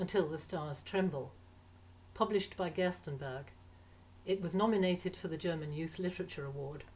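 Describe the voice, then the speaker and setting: A woman with a fairly low, somewhat breathy voice talks at a fairly quick pace with ordinary pitch variation, broken by long, frequent pauses. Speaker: literary translator. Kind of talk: book introduction to camera.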